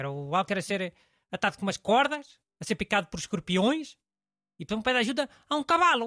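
A high-pitched man raises and projects his voice in a European Portuguese accent, moving at a fairly quick pace with very wide pitch swings and long, frequent pauses, in a dry, close sound with no echo on a very clean recording with a silent background. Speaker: radio host. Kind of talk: casual chat.

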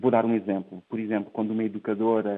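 The speaker is a man. His pace is fairly quick. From Portugal, Ribatejo. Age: 30s. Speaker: tech entrepreneur. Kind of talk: interview. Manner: hesitant, with repeated words.

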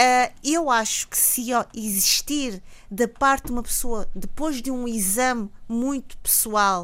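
A woman with a normal speaking voice talks at a fairly slow pace and a fairly high pitch with ordinary pitch variation, recorded very cleanly over a silent background. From Mozambique. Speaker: academic commentator. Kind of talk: radio panel debate.

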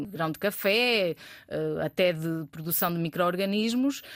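The speaker has a Trás-os-Montes accent, captured in a very clean recording with a silent background. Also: woman. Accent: Bragança accent, noticeable. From Portugal, Bragança (Trás-os-Montes). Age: 30s. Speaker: startup founder and CEO. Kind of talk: interview.

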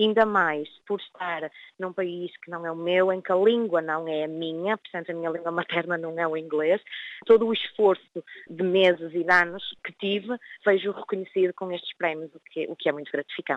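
A woman with an unremarkable speaking voice talks at a moderate pace and fairly low pitch. Her intonation is fairly even, but her loudness swings widely. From northern Portugal, Vila do Conde. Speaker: nurse. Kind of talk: interview.

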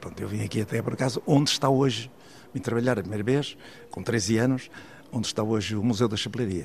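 A very fast male voice with fairly even intonation amid noticeable background noise. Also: medium pitch for a man. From Portugal, Águeda (Aveiro district). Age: 80s. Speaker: art collector and businessman. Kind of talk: interview.

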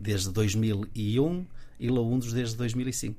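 Dark, mellow tone from a man at a medium pitch. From northern Portugal, Guimarães. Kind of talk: casual interview. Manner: halting, frequent repetitions.

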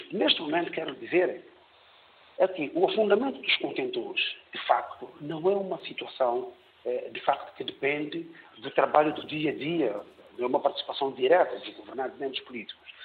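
Man at a moderate pace with big swings in loudness, amid noticeable background noise. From São Tomé and Príncipe. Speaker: caller. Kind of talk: call-in opinion.

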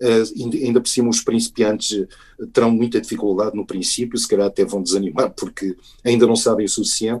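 The background is free of noise. A man talks fairly quickly. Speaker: actor and chess grandmaster, book author. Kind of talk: interview.

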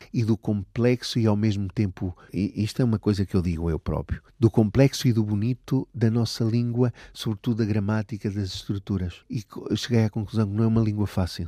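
Heard dry and close with no echo, a man speaks at a moderate pace with fairly even intonation. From Portugal, Aveiro region. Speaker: language education coordinator. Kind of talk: interview.

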